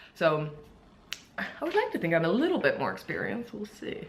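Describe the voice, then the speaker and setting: Fairly quick speech from a woman amid noticeable background noise and audible room echo. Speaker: fitness vlogger and bikini competitor. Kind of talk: casual vlog. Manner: casual, many fillers.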